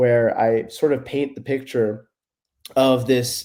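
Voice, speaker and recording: This man has an American accent, a medium pitch, a dark, mellow tone and fairly even intonation. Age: 20s. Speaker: philosophy student and YouTuber. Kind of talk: podcast interview.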